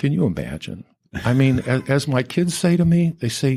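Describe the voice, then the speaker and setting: A man talks with an American accent in a somewhat breathy voice. His tone is dark and mellow. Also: very clean recording, silent background. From Ohio, Cleveland. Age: 70s. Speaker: labor lawyer. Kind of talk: casual interview chat.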